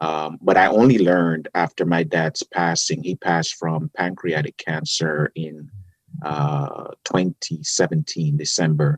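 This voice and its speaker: A man with a strong Jamaican accent speaks in a very deep, low pitch at a fairly slow pace. His intonation stays fairly even, and the sound is dry and close with no echo. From Jamaica, Kingston. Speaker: public defender. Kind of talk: casual interview. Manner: gentle.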